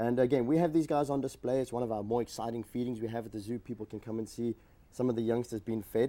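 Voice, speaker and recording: A man with a South African accent talks at a very fast pace in a dark, mellow tone, medium pitch and fairly even intonation. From South Africa, Johannesburg. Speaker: reptile zoo educator. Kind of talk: TV talk show interview.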